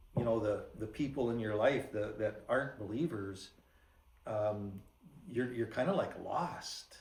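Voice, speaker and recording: At a fairly slow pace, a man talks in a somewhat breathy voice with medium pitch and ordinary pitch variation. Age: 70s. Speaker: church member giving testimony. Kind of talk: testimony. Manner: halting.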